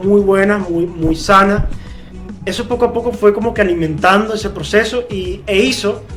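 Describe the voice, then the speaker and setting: With music in the background, a man with a Venezuelan accent speaks at a high pitch with fairly even intonation. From Maturín, Monagas, Venezuela. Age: 20s. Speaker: football coach. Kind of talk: interview answer.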